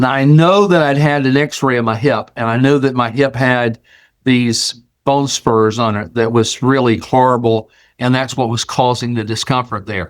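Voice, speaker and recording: A man in an ordinary speaking voice, medium pitch, ordinary pitch variation and moderate pace, on a very clean recording with a silent background. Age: 60s. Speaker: show host sharing personal health testimony. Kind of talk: testimony. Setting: video recording on camera. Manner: casual, conversational.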